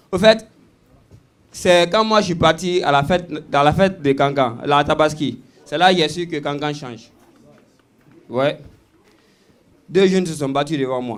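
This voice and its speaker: A man with a fairly high voice talks at a fairly slow pace, using ordinary pitch variation and leaving long, frequent pauses. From Guinea. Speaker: stand-up comedian. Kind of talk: live stand-up comedy.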